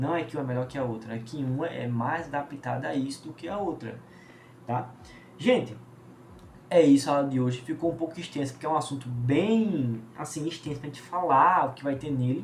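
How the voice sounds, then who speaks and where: Speaking at a fairly quick pace, a man with a fairly high pitch and ordinary pitch variation is heard with audible room echo. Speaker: biology teacher. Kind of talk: lecture. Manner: fast.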